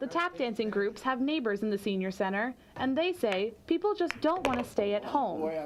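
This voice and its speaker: Someone speaks at a moderate pace and very even loudness, with hardly any pauses. The pitch swings very widely, and there is noticeable background noise. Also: woman, fairly high pitch for a woman. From China. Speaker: student video reporter. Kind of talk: scripted narration.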